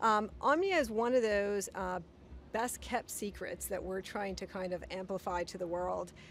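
At a moderate pace, a woman speaks with a dry sound with no echo and light background noise. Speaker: guest. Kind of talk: interview answer. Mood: friendly and upbeat. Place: street. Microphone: handheld.

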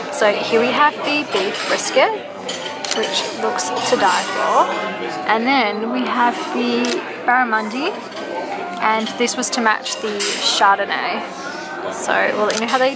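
A woman speaks at a fairly slow pace with long, frequent pauses and ordinary pitch variation. The sound is dry with no echo, with clear music in the background. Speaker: food vlogger. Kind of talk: casual vlog chat. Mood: cheerful, enthusiastic. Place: cafe.

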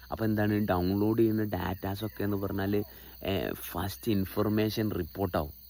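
A man's fairly low-pitched voice, dark and mellow in tone, with fairly even intonation. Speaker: spiritual teacher. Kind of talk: spiritual talk. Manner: halting, full of pauses and restarts.

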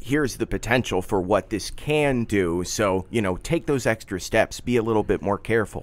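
With an American accent, an unremarkable speaking voice moves at a moderate pace with ordinary pitch variation, very even loudness and hardly any pauses. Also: man, medium pitch for a man. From Philadelphia area. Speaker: podcast producer and host. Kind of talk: interview. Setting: studio.

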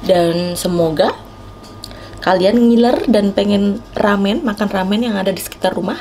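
Ordinary pitch variation from a woman, with light background noise. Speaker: food vlogger. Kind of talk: casual vlog chat. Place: cafe. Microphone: phone near.

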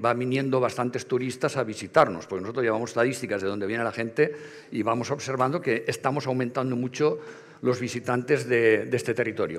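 Words pour out of a man at a very fast pace. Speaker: heritage foundation representative; speaker. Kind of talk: conference presentation with slides. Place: hall. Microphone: headset.

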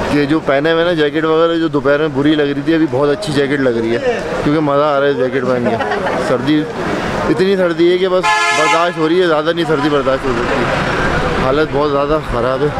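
Loud background noise runs under a man's voice. The sound is dry with no echo, and his pitch varies in an ordinary way. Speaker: travel vlogger. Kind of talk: casual vlog chat. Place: street. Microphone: phone near.

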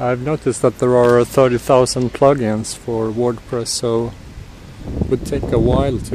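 A man speaks at a fairly slow pace. The sound is dry with no echo, and there is noticeable background noise. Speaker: tech vlogger. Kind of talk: casual vlog chat. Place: street. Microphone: phone near.

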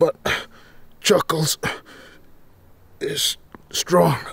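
A man does a raspy, put-on character voice with a dry, close sound and no echo. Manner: blustering, theatrical.

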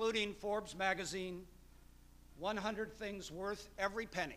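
A man speaks in a raised, projected voice. His tone is bright and sharp. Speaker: event host introducing the guest lecturer. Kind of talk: formal speaker introduction. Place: hall. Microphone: podium.

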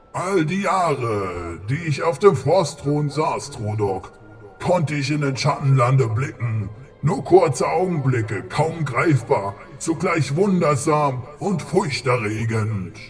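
Over clear music in the background, a man with a fairly high pitch speaks at a fairly slow pace. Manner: grave, earnest.

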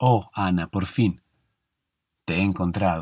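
In a Rioplatense accent, the speaker talks at a fairly slow pace with fairly even intonation and a calm, soothing tone while music plays in the background. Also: man. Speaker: sleep podcast host. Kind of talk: bedtime story narration. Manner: slow, calm, soothing storytelling.

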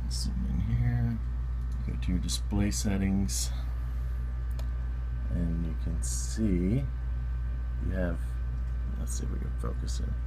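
A man's very deep, low voice, monotone and flat, very slow with long, frequent pauses, amid noticeable background noise. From Southern United States. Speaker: tech hobbyist. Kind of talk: casual tech tutorial. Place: home room. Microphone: phone near.

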